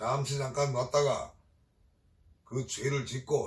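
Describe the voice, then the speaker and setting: The speaker is a man. He talks with a Gyeongsang accent. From Gyeongsang region, South Korea. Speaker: Buddhist exorcist priest. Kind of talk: dharma talk. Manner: hesitant fillers.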